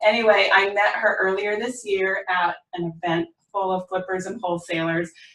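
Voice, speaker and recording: A woman speaks with an American accent at a moderate pace. Her pitch is medium and her intonation fairly even. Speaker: podcast host. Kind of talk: podcast interview.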